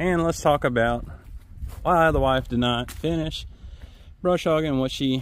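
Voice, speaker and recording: This man talks at a fairly slow pace, his pitch rising and falling an ordinary amount. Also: dry sound with no echo. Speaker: farmer vlogger. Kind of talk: casual vlog chat. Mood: relaxed, upbeat. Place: farm machine.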